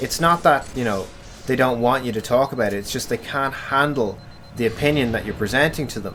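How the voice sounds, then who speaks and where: A man with an Irish accent, medium pitch, ordinary pitch variation and a fairly quick pace. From Ireland. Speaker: gaming commentator. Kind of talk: casual chat. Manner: animated.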